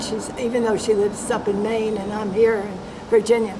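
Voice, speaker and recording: A woman speaks with an American accent. Noticeable background noise and audible room echo surround her voice. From New York, US. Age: 90s. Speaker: interviewee. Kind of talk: oral history interview. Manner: halting.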